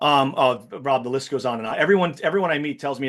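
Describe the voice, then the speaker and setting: A man talks at a very fast pace. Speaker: real estate team leader. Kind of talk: training webinar Q&A.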